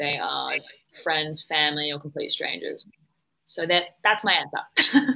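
A woman with an Australian accent at a fairly slow pace, with long, frequent pauses. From Western Australia, Perth. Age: 20s. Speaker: podcast guest, former model. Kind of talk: casual chat. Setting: remote call.

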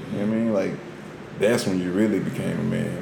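A man with an American accent, fairly low in pitch and fairly even in intonation, amid audible room echo and noticeable background noise. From US. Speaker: podcast co-host. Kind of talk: casual chat.

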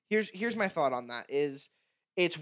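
Bright and sharp in tone, a man's voice moves with lively intonation. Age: 20s. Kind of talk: casual chat. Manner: fast.

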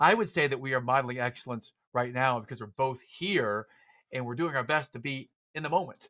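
Bright, sharp and animated in tone, a man talks at a fairly quick pace and medium pitch, with ordinary pitch variation, in a dry, close sound with no echo. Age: 40s. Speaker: executive coach and podcast host. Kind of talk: interview conversation.

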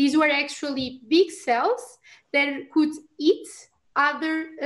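Very slow speech from a woman in a Portuguese accent, with ordinary pitch variation. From Portugal. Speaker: immunology researcher. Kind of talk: casual expert discussion.

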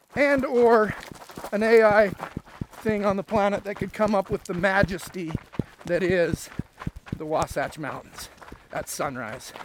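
A man with a high pitch and an American accent speaks at a fairly slow pace, with ordinary pitch variation. Long, frequent pauses break his speech, and background noise is noticeable. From rural Utah. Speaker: realtor and running podcast host. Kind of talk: casual chat on a trail run. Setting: outdoors on a trail. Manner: out of breath while running.

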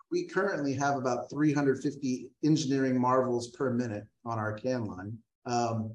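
With an American accent, a man speaks fairly slowly at medium pitch in an unremarkable speaking voice. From Texas, San Antonio. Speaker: brewery executive. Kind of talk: interview.

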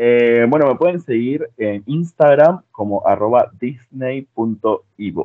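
A man with a Rioplatense accent speaks at a very slow pace with hardly any pauses, at a medium pitch and with ordinary pitch variation. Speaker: social media content creator. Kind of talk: casual chat.

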